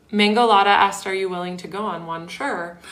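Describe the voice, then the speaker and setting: There is audible room echo around a woman's medium-pitched voice, which has ordinary pitch variation. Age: 30s. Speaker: ADHD coach and livestreamer. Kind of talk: casual livestream chat. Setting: live stream. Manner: chatty, conversational.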